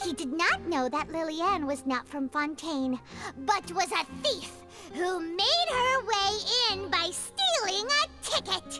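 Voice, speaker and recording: Someone uses a put-on character voice pitched extremely high, speaking at a fairly slow pace. Music plays clearly in the background. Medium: machinima. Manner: brisk, explanatory.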